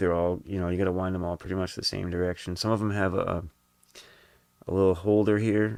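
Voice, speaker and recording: In a very deep, low voice, a man speaks at a moderate pace with monotone, flat intonation. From New England. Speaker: guitar hobbyist streamer. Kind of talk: casual live-stream tutorial. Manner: relaxed, conversational.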